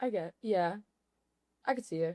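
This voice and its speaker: Someone with an American accent speaks at a moderate pace with ordinary pitch variation, the sound dry and close with no echo. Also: woman. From Louisiana, small town near Baton Rouge. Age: 20s. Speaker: podcast guest, former freight broker. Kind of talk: casual chat. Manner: animated.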